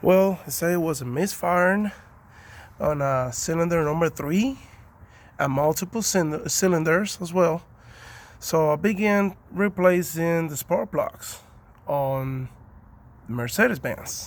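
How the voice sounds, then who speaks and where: Someone with a Spanish accent speaks at a fairly slow pace with long, frequent pauses and ordinary pitch variation, in a very clean recording with a silent background. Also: man, high pitch for a man. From Cuba. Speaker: car owner doing DIY repair video. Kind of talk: casual tutorial. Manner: halting, many fillers.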